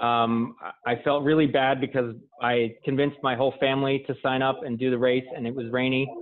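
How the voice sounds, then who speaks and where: In a flat, monotone intonation, a man with a medium-pitched voice talks at a moderate speed. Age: 30s. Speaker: amateur marathon runner. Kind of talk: casual interview.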